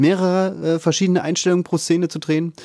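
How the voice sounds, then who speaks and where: A man with a high pitch is heard in a very clean recording with a silent background and a dry, close sound with no echo. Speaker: film podcast co-host. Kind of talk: casual chat.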